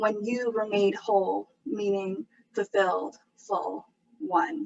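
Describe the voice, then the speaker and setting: Fairly high in pitch, a woman with an unremarkable speaking voice talks at a fairly slow pace. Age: 20s. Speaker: poet. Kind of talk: spoken word performance.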